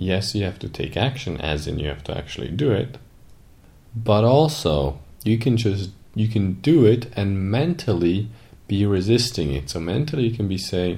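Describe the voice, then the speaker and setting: A man speaks at a moderate pace in a fairly low, dark, mellow voice that is somewhat breathy. His pitch swings very widely, and audible room echo surrounds him. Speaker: podcast co-host, business coach. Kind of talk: casual chat.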